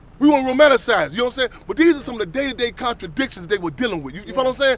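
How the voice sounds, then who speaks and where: With an American accent, a man talks at a very fast pace in an extremely high pitch, his tone animated and intonation lively, loudness swinging widely over noticeable background noise. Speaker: activist speaker. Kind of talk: speech to audience.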